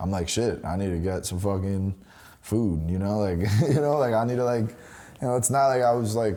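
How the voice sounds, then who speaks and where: A man speaks with a New York accent in a dark, mellow tone. His pitch is fairly low, with ordinary pitch variation. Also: fairly quick pace. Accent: New York City. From New York City, Washington Heights. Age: 20s. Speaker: rapper. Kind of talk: casual interview.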